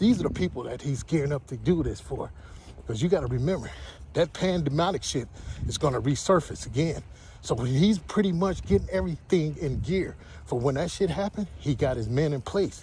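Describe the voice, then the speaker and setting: A man's fairly high, dark and mellow voice with vocal fry, lively intonation and a fairly quick pace. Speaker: religious livestreamer. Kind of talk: walking livestream monologue. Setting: outdoors, walking. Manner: fast.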